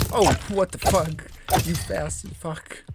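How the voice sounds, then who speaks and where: Very slow male speech amid noticeable background noise. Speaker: gaming streamer. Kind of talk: live gameplay commentary. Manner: quiet.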